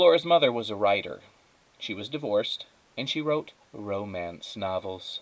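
Someone reads aloud plainly. Nothing more is added to the delivery.

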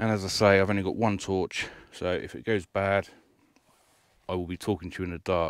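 Very deep, low male voice with fairly even intonation at a moderate pace, against a quiet background. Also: dry sound with no echo. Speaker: vlogger. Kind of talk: casual vlog chat. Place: car. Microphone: lapel.

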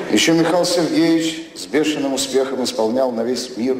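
Over light background noise and audible room echo, a man talks at a moderate pace with ordinary pitch variation. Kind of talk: satirical stage monologue. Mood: ironic, deadpan delivery.

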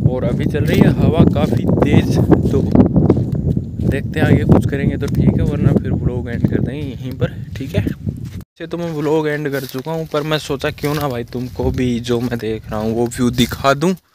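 A man talks with ordinary pitch variation and hardly any pauses. Noticeable background noise runs behind him. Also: medium pitch for a man. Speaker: vlogger. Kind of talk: casual vlog talk to camera. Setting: outdoors.

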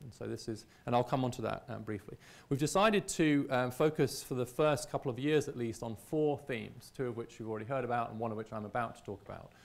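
With a British accent, a man talks at a very fast pace with hardly any pauses, ordinary pitch variation and big swings in loudness. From Britain. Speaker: visiting scholar; speaker. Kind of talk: lecture presentation. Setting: stage with audience. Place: hall. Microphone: lapel.

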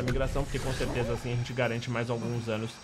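The delivery is very fast. Clear music plays in the background. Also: man. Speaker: gamer. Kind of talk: gameplay commentary.

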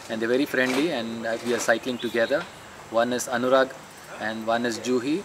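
At a moderate pace, the voice comes through over noticeable background noise. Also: man. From India, Karnataka (Mysore); Karnataka, India. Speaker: amateur cyclist, tour participant. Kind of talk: casual interview. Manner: hesitant, with fillers. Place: garden.

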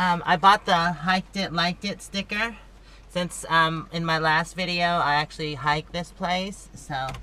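Speaking in an ordinary speaking voice, a woman talks at a fairly low pitch and a fairly slow pace with fairly even intonation. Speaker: travel vlogger. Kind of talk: casual vlog chat. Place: forest. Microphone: phone near.

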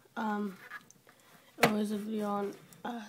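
A woman speaks at a fairly slow pace, her pitch fairly high. Noticeable background noise runs under her voice. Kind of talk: casual screen-recording tutorial.

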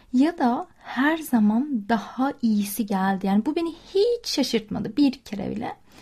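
A woman's high, dark, mellow voice with lively intonation, at a fairly slow pace with hardly any pauses. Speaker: podcast host. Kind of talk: casual monologue.

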